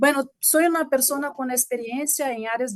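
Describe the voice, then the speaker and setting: A woman with a Portuguese accent talks at a moderate pace with ordinary pitch variation, the sound dry and close with no echo. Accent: Portuguese-tinged Spanish. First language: Portuguese (speaking Spanish). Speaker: mechanical engineer, guest lecturer. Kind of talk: lecture.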